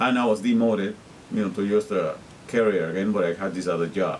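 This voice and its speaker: Very fast speech in a Spanish accent. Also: man. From Guatemala. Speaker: interpreter and vlogger. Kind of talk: casual video diary monologue. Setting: self-recorded on camera.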